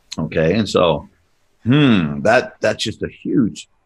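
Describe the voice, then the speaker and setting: A man's fairly low voice with vocal fry, very slow, with very wide pitch swings. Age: 60s. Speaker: podcast host. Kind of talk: casual chat. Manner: halting.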